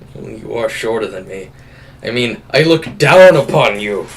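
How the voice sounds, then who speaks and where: A man puts on a character voice. It sits at medium pitch and moves at a moderate pace. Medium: actual play. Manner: teasing.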